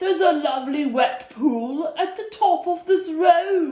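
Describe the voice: Someone puts on a croaky character voice with an extremely high pitch, talking at a fairly slow pace.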